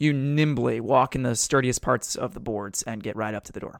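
A man with an ordinary speaking voice talks at a moderate pace and medium pitch, the sound dry and close with no echo in a very clean recording with a silent background. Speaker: game master. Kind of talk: tabletop roleplaying game session, casual banter. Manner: joking, banter-heavy.

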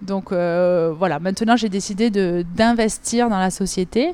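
A woman's medium-pitched voice, dark and mellow in tone, with ordinary pitch variation. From southern France, Avignon. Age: 30s. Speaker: gymnastics coach. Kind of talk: interview.

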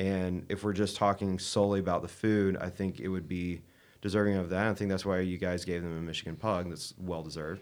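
In a very clean recording with a silent background, a man speaks at a very deep, low pitch in a monotone, flat intonation. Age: 20s. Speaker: chef. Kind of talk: casual chat.

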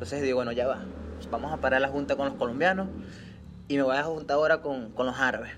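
Amid audible room echo, a man with a fairly high pitch talks at a very fast pace, broken by long, frequent pauses. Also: ordinary pitch variation. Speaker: podcast host. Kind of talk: casual chat.

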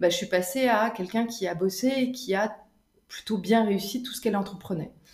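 A woman talks with ordinary pitch variation. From Canada. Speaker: business coach. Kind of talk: interview. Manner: hesitant, many fillers.

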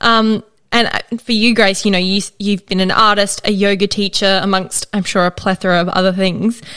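Her bright, sharp tone sits at medium pitch as a woman with an Australian accent speaks at a moderate pace in a monotone, flat intonation. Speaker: podcast host. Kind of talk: scripted intro and casual chat. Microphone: good audio.

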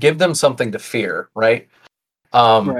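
Speaking at a moderate pace, a man uses a plain, everyday voice at medium pitch. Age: 30s. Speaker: tabletop game designer. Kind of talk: casual chat.

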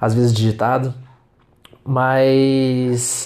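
A man talks at a medium pitch. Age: 20s. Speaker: podcaster, law student. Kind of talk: solo monologue podcast. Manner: halting.

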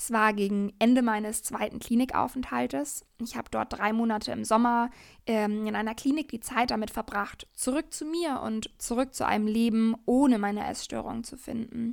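In a very clean recording with a silent background, a woman with an unremarkable speaking voice talks at a moderate pace with hardly any pauses, her fairly high pitch showing ordinary variation. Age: 20s. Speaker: podcast host, yoga teacher and coach. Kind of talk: personal monologue.

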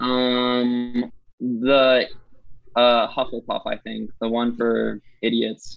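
Music plays in the background. A man with an American accent talks at a very slow pace. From Massachusetts, US. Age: 20s. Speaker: musician. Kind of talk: casual interview.

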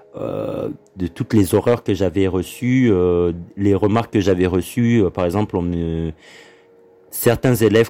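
A man with a Congolese accent speaks in a very deep, low voice with a dark, mellow tone. His pace is very slow, with ordinary pitch variation. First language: Lingala (speaking French). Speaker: podcast host. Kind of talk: solo monologue podcast. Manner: hesitant with many fillers.

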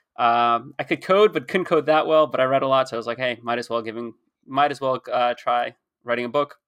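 Speaking at a fairly quick pace, a man with an American accent has a plain, everyday voice at medium pitch, with ordinary pitch variation and a dry, close sound with no echo. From United States from age six, French parents. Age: 20s. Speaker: author. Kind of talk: casual chat.

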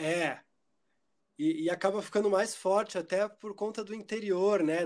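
Recorded very cleanly over a silent background, a man speaks at a fairly slow pace with ordinary pitch variation. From Curitiba, southern Brazil. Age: 30s. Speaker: musician and theatre performer. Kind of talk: casual interview chat.

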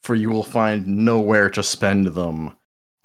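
A natural reading voice with fairly even intonation is heard against a quiet background.

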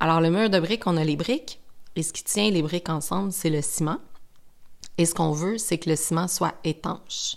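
Fairly low in pitch with ordinary pitch variation, a woman with a Quebec accent is heard in a very clean recording with a silent background. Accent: Québécois French. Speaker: skincare brand educator. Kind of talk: podcast monologue.

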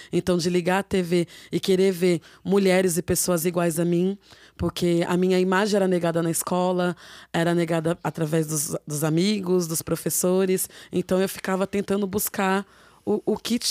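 On a very clean recording with a silent background, dry and close with no echo, a woman at medium pitch speaks at a moderate pace in a dark, mellow tone with fairly even intonation and very even loudness. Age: 30s. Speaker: rapper and writer, former domestic worker. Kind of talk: interview.

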